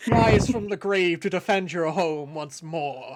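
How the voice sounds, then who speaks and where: A put-on character voice at a middle pitch moves along at a fairly slow pace. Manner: booming, epic.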